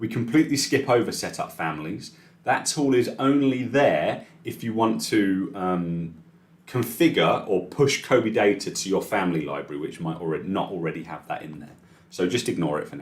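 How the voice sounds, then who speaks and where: With a British accent, a man at a fairly low pitch makes very wide pitch swings. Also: big swings in loudness. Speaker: software trainer. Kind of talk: live tutorial webinar. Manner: fast.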